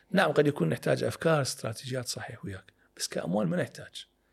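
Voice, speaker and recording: A man's very fast delivery with very wide pitch swings and vocal fry. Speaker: political and economic analyst. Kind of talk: interview discussion.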